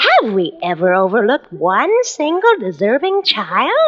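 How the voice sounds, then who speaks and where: A woman does a put-on character voice at a high pitch, with very wide pitch swings. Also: moderate pace. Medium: read story. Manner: soothing, gentle.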